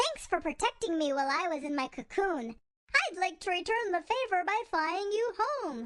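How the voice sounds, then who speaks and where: Using a put-on character voice, a woman squeaks at an extremely high pitch while keeping a moderate pace. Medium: read story. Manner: excitable, goofy.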